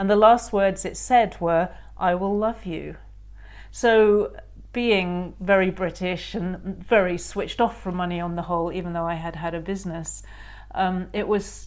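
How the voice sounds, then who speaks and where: Fairly slow speech from a woman with an English accent. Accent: posh English, boarding-school. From England. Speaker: author. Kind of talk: interview.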